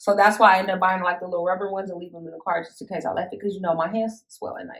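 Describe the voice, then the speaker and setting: Very fast and animated, a woman speaks at a medium pitch with big swings in loudness. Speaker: podcast co-host. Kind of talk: casual chat.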